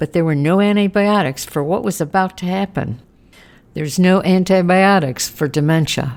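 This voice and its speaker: A woman's plain, everyday voice at a moderate pace, with ordinary pitch variation. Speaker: memoir narrator, caregiver. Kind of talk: podcast memoir narration.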